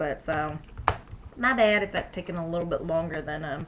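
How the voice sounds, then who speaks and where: Soft-spoken and very fast, a woman with a fairly low pitch and ordinary pitch variation talks over noticeable background noise. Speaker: beauty vlogger. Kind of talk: tutorial. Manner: casual, filler-heavy.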